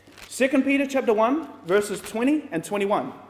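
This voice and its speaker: Amid audible room echo, a man speaks at an extremely high pitch, his tone animated and his intonation lively. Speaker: preacher. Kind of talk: sermon with congregation call-and-response, Bible study. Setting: church with live audience. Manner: animated, rhetorical questions, prompts audience to say amen. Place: hall.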